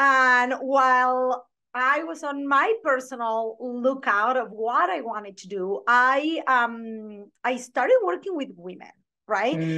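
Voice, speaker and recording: A woman speaks very slowly with a strong Argentine accent and a high pitch. Her loudness swings widely while her pitch varies in an ordinary way. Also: quiet background. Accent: thick Argentine Spanish. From Argentina. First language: Spanish. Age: 40s. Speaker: branding photographer and business coach. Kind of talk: podcast interview.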